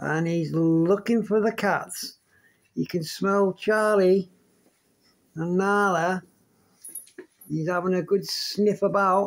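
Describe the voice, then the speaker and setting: The speech comes at a very slow pace with long, frequent pauses. The background is quiet. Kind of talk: casual talk to pets. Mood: playful, fond. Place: home room. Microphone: phone near.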